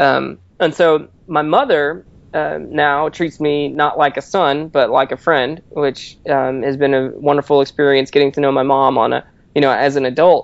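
A man talks at a moderate pace in an ordinary speaking voice. His pitch is fairly high and his intonation fairly even. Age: 30s. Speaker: magazine editor. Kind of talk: interview.

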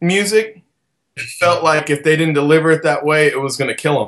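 With an American accent, a man speaks at a fairly quick pace and with ordinary pitch variation. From Southern Illinois. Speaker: band frontman and singer. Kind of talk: casual interview chat. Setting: online video call.

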